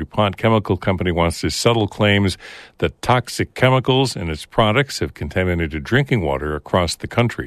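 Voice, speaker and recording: Lively intonation carries speech delivered at a fairly quick pace. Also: man. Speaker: public radio host. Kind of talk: radio news hosting. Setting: studio.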